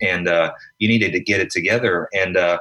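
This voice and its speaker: The voice has a bright, sharp tone and a slight Southern US accent. It moves at a fairly quick pace with fairly even intonation. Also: man. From South Carolina. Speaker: podcast co-host. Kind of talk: casual chat.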